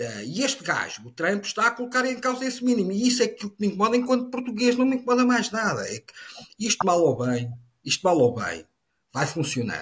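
A man with a high pitch talks at a fairly quick pace, his pitch varying in an ordinary way while his loudness swings a lot. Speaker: politician. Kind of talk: political discussion.

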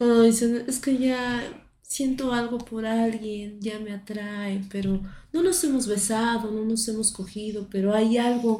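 A woman speaks very slowly in a dark, mellow, somewhat breathy tone at a fairly high pitch with fairly even intonation. Room echo can be heard. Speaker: podcast host. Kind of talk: casual chat.

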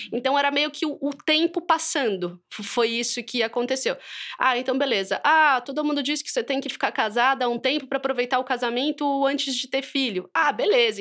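A woman speaks in a high voice with a bright, sharp tone. Her pace is moderate. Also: very clean recording, silent background. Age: 30s. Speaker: mother and writer. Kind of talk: interview, personal testimony.

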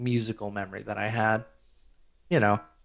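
Speaking with an American accent, a man's voice shows vocal fry. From rural northern Michigan. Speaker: composer and music editor. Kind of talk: casual interview chat.

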